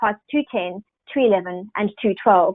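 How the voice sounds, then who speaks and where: A woman with a South African accent, fairly quick pace and ordinary pitch variation. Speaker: software sales executive. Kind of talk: webinar presentation. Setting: online webinar.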